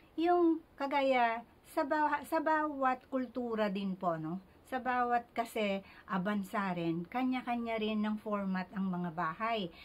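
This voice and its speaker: A woman talks at a very slow pace. Her fairly high pitch carries lively intonation. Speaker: feng shui consultant. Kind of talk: tutorial. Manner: soft. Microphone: speaking very close to mic.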